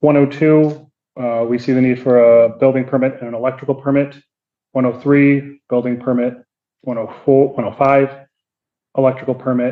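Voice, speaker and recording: At a medium pitch, a man speaks in a monotone with flat intonation. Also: moderate pace. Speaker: city building inspector. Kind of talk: courtroom testimony.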